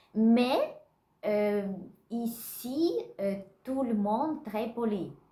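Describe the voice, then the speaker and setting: With lively intonation and a very slow pace, a woman speaks in a room with audible echo. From Russia. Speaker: vlogger learning French. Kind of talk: casual vlog. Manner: halting, many hesitations.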